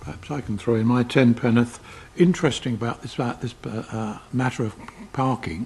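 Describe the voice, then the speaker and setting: A man with a South East London accent speaks at a fairly quick pace in a medium-pitched voice. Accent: South East London accent, audible. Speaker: committee chair, local councillor. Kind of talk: council committee meeting.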